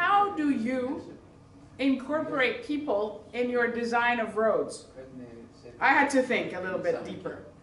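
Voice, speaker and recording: A woman speaks at a fairly slow pace in a high voice with lively intonation, with audible room echo and noticeable background noise. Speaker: lecturer. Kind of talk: lecture. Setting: summer school with live audience. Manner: animated.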